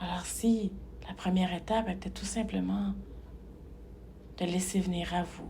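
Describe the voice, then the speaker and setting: A woman at a fairly slow pace with long, frequent pauses, audible room echo and noticeable background noise. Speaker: hypnotherapist. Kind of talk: guided meditation. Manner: calm, measured; slow, soft.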